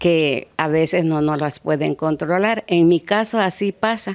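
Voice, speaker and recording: A woman speaks with a very deep, low pitch. Her intonation is fairly even, and the background is quiet. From Mexico, Guerrero coast. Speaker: cancer survivor, support group member. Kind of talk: news interview. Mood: calm, earnest, advising. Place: garden. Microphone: handheld.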